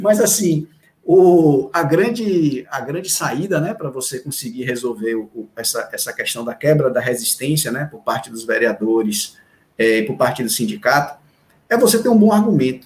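Moderate pace, big swings in loudness and very wide pitch swings. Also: man. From Salvador, Bahia, Brazil. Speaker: education official. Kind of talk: interview. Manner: halting.

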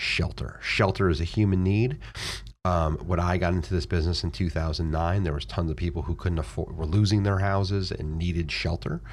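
A man's very deep, low, somewhat breathy voice with an American accent, fairly quick in pace and lively in intonation. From Florida. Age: 40s. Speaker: real estate investor. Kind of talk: interview. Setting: studio.

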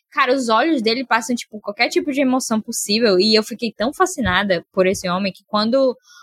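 A woman in a normal speaking voice, fairly high in pitch, with lively intonation, big swings in loudness, a fairly quick pace, hardly any pauses and a dry, close sound with no echo. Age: 20s. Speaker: film podcast guest. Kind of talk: casual chat.

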